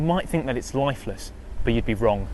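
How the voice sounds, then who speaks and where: With music in the background, a man talks with ordinary pitch variation. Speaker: wildlife presenter. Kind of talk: wildlife documentary narration.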